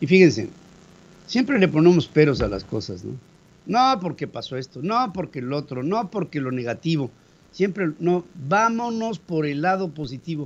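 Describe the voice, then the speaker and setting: This man's pitch swings very widely. His pace stays fairly slow. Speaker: radio news host. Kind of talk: news commentary.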